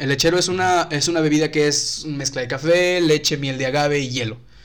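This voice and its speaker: With a plain, everyday voice, a man talks at a moderate pace, his pitch fairly high and its variation ordinary. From Mexico, Tampico (Tamaulipas). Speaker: YouTube content creator. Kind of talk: casual chat.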